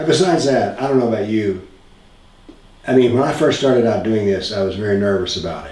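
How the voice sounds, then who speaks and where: A man with an American accent speaks at a fairly quick pace and a medium pitch, his intonation ordinarily varied, with noticeable background noise and audible room echo. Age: 70s. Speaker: author and former physics professor. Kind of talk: interview.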